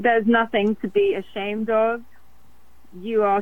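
Pitched at a medium level, a woman speaks at a fairly slow pace in a monotone, flat intonation. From London, England. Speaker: singer-songwriter. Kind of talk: interview.

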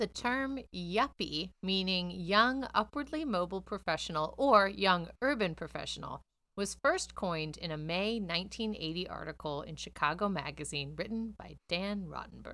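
A woman with an ordinary speaking voice talks at medium pitch and a moderate pace, with lively intonation and hardly any pauses. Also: very clean recording, silent background. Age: 30s. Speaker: podcast co-host. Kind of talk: casual chat; reading facts aloud.

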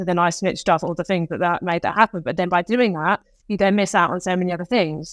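A fairly quick speaker with a British accent keeps a fairly even intonation on a very clean recording with a silent background. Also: woman, dry, close sound with no echo. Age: 30s. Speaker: fitness coach and endurance athlete. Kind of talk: casual interview.

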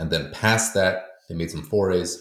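A man with an American accent speaks in a somewhat breathy voice, with audible echo from the room. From US, with schooling in Poland. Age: 40s. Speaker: historian and author. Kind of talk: interview.

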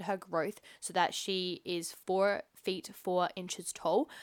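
An Australian accent marks this woman's speech. Her tone is animated and her pitch medium. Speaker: podcast host. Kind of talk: casual interview.

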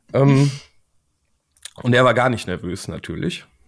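Recorded very cleanly with a silent background, a man speaks at a fairly slow pace and a medium pitch. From Germany, Siegen. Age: 30s. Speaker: board game illustrator. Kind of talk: casual interview.

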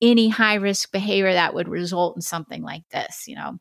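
A woman with an American accent talks at a fairly quick pace in an ordinary speaking voice, her pitch medium. The recording is very clean, with a silent background. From Oregon, US. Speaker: retired FBI criminal profiler. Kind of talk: interview conversation.

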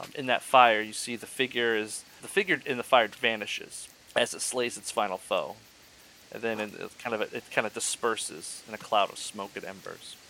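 In an ordinary speaking voice, a man talks at a moderate pace with a medium pitch and ordinary pitch variation. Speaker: dungeon master. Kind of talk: tabletop RPG narration, ghost story telling by the campfire. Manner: switches into an old man's character voice.

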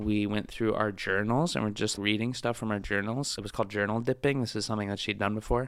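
Against a very clean recording with a silent background, a man speaks with an American accent at a fairly quick pace. His fairly low pitch keeps a monotone, flat intonation. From US West Coast, San Francisco Bay Area. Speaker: stand-up comedian. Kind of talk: casual interview chat.

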